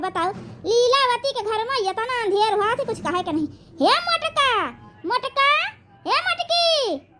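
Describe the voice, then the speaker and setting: Putting on a cartoonish character voice, a woman talks at an extremely high pitch with very wide pitch swings, a moderate pace and long, frequent pauses. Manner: scolding, commanding.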